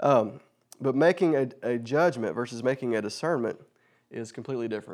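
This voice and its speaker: A man speaks at a fairly quick pace on a very clean recording with a silent background. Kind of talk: sermon. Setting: church. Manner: fast talker.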